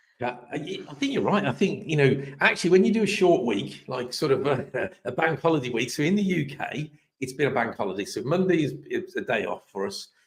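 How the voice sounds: A man talks at a fairly quick pace with lively intonation and a medium pitch. His voice is hoarse, with a slightly husky edge.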